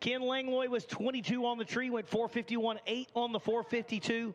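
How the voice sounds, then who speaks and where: A man talks at a moderate pace with fairly even intonation. His pitch is extremely high. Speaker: drag racing announcer. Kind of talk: live commentary. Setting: announcer tower at drag strip, PA system.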